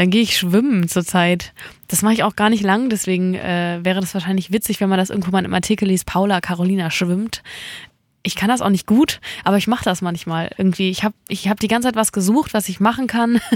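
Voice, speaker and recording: In a very clean recording with a silent background, a woman speaks very fast at a medium pitch with fairly even intonation. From mountain region. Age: 20s. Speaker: singer-songwriter. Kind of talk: interview. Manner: laughs often.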